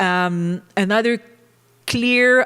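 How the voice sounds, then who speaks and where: Speaking in a French Canadian accent, a woman has a fairly low pitch. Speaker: professor. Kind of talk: conference panel talk. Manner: halting, many fillers.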